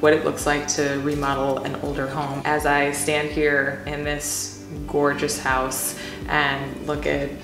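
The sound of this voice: A woman speaks slowly in a low, monotone, flat voice with few pauses. Clear music plays in the background, and the room echo is audible.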